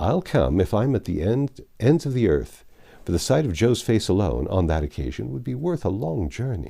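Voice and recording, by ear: A man puts on a character voice with vocal fry, a fairly low pitch, big pitch swings and a dark, mellow tone, speaking at a moderate pace in a very clean recording with a silent background.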